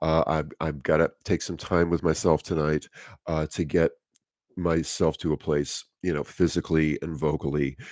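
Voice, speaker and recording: A man with a very deep, low voice speaks at a moderate pace in a flat monotone. The background is quiet. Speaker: acting and voice coach. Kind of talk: tutorial. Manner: halting, many fillers.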